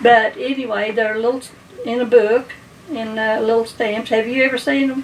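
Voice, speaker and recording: A woman speaks with an Appalachian accent at a fairly high pitch. Her intonation stays fairly even over noticeable background noise. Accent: Appalachian Kentucky. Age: 80s+. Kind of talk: interview answer.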